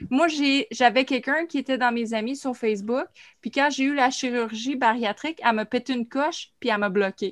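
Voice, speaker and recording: The speech moves at a moderate pace with ordinary pitch variation, and the sound is dry and close with no echo. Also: woman, high pitch for a woman. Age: 40s. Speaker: podcast co-host. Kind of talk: casual chat. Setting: video call.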